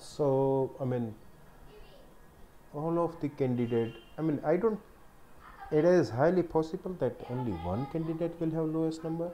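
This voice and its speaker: Moderate pace with long, frequent pauses against noticeable background noise. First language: not English. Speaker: programmer making coding videos. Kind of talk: thinking aloud while reading a problem. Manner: halting, with many fillers.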